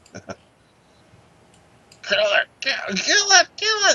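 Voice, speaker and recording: This is a put-on character voice at an extremely high pitch. The speaker is shouting. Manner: screaming.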